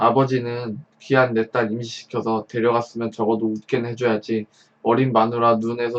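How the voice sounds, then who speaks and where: Here a man speaks at a medium pitch. His pace is moderate. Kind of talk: story reading.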